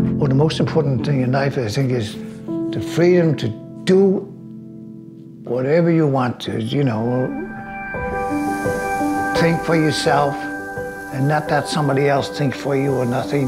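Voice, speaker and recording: Loud music plays in the background as a man speaks. He talks at a fairly slow pace with long, frequent pauses. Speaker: coffee farmer and roaster. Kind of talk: documentary interview answer. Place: kitchen.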